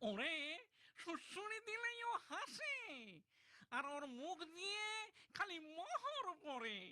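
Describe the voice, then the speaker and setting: At a very slow pace, a cartoonish character voice goes extremely high in pitch and swings very widely up and down. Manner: obsequious, pleading.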